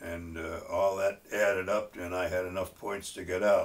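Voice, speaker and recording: A man with an American accent, fairly low in pitch, somewhat breathy, at a fairly slow pace. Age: 90s. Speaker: war veteran. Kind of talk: testimony. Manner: halting, many fillers.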